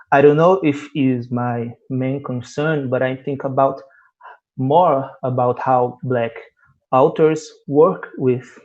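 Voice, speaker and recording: A man with a Portuguese accent talks at a very slow pace. His pitch is medium, with fairly even intonation. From Brazil. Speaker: panel moderator, Afrofuturism specialist. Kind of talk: panel interview. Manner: halting.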